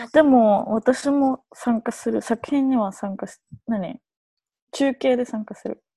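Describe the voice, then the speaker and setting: A woman speaks very slowly in a high pitch with a dark, mellow tone and ordinary pitch variation. Her loudness swings widely, and the sound is dry and close with no echo against a quiet background. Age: 20s. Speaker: dancer and choreographer. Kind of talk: casual chat. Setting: video call.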